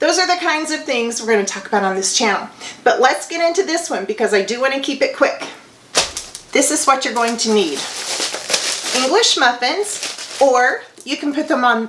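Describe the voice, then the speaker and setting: Through noticeable background noise, a high-pitched woman speaks with very wide pitch swings and long, frequent pauses. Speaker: homemaking vlogger. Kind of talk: cooking tutorial.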